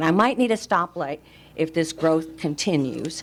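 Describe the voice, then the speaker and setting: An unremarkable speaking voice: a woman at a fairly low pitch, ordinary pitch variation and a moderate pace. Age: 60s. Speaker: resident speaking at public comment. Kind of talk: public comment at county meeting. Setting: county commission meeting room.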